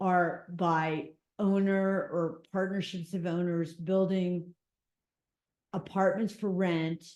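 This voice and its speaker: Speaking very slowly, a woman with an American accent has a fairly low pitch and a monotone, flat delivery. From US East Coast. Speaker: community meeting attendee. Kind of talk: community meeting discussion. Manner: talkative.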